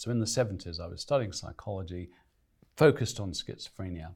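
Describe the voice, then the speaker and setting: Somewhat breathy and with lively intonation, a man talks at a fairly quick pace on a very clean recording with a silent background. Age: 60s. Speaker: nutrition expert and author. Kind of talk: interview. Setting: studio.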